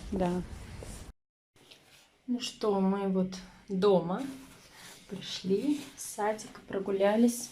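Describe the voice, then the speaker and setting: A woman talks very slowly, stopping often for long pauses. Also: medium pitch for a woman, fairly even intonation. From Ufa, Russia. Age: 20s. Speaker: stay-at-home mother and family vlogger. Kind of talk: casual talk to camera.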